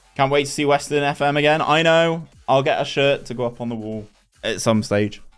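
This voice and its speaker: With music playing in the background, a man speaks at a fairly quick pace in a Bristolian accent, his pitch fairly high with ordinary variation. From England, Bristol. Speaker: gaming streamer. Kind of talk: live game stream commentary with chat. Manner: animated.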